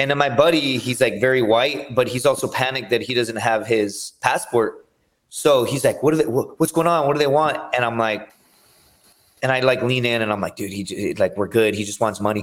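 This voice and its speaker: A man with an American accent has an unremarkable speaking voice at medium pitch. He talks at a fairly quick pace with ordinary pitch variation. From US-Mexico border region. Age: 30s. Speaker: MMA fighter and reality TV contestant. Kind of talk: casual chat.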